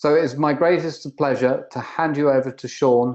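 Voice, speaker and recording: Speaking at a moderate pace, a man with a British accent shows ordinary pitch variation. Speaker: webinar moderator, performance engineer. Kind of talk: webinar introduction. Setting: video conference.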